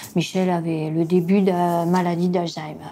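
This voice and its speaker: Audible room echo surrounds a woman speaking at a very slow pace. Her fairly low voice is monotone, with flat intonation. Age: 70s. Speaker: caregiver spouse. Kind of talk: testimony. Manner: hesitant, many fillers.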